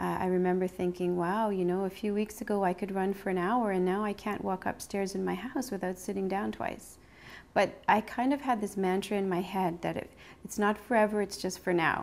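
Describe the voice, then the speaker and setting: A woman's unremarkable speaking voice with a Canadian accent, medium pitch and fairly even intonation at a fairly quick pace, on a very clean recording with a silent background. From Sudbury, Ontario, Canada. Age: 40s. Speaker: cancer survivor. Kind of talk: interview testimony.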